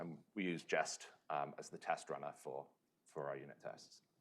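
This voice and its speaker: A man talks at a moderate pace in a British accent. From UK. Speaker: software engineer, conference speaker. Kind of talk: conference talk. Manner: frequent filler words (um, uh).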